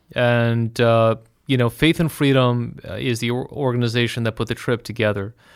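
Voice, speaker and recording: Heard on a very clean recording with a silent background, a man with an unremarkable speaking voice talks at a moderate pace and medium pitch, his intonation fairly even. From United States. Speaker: trip organizer and commentator on Israel. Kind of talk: interview.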